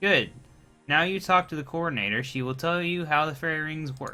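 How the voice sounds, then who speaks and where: Using a put-on character voice, a man talks at a moderate pace with faint music in the background. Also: fairly high pitch for a man. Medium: solo performance. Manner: bossy, protective.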